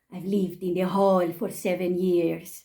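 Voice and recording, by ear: In a put-on character voice with a Spanish accent, a female-sounding voice speaks at a middle pitch and a moderate pace in a monotone, flat intonation.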